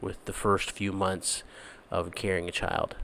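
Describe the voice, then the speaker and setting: The voice is quiet and moves at a fairly slow pace. Its intonation stays monotone and flat. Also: man. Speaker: missionary. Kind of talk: video update. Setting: apartment at night. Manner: halting, many fillers; quiet, hushed.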